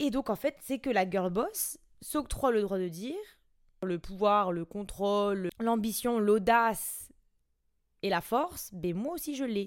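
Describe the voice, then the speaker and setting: Speaking very slowly, a woman uses lively intonation. Her pitch sits in the medium range. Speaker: podcast host. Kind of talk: casual monologue. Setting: at home on the couch. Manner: spontaneous, unscripted.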